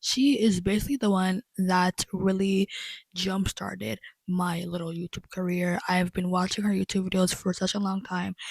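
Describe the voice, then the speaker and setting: A somewhat breathy voice with fairly even intonation, in a dry, close sound with no echo. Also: woman, medium pitch for a woman, moderate pace. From Congo and Angola. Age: 20s. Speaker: lifestyle YouTuber. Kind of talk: casual chat.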